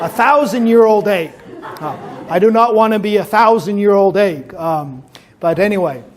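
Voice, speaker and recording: A man with an American accent at a high pitch and moderate pace, his intonation lively, amid audible room echo and noticeable background noise. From Taiwan. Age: 50s. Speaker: pastor. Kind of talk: talk to youth audience.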